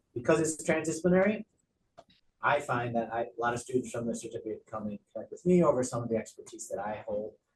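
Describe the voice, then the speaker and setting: Here a man speaks at a fairly quick pace with lively intonation. His voice is somewhat breathy. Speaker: university faculty member. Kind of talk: online information session remarks. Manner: fast.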